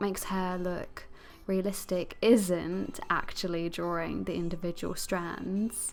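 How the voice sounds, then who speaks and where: In an English accent, a woman talks in a medium-pitched voice with fairly even intonation. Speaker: digital artist and tutorial creator. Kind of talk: tutorial.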